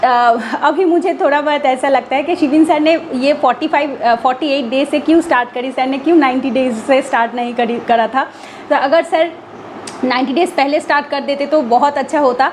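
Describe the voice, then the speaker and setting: A woman with a Bengali accent speaks at a moderate pace in a high voice with fairly even intonation. Background noise is noticeable. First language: Bengali (speaking Hindi). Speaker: exam aspirant vlogger. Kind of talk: casual vlog talk. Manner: halting with fillers and self-corrections; code-switching Hindi and English.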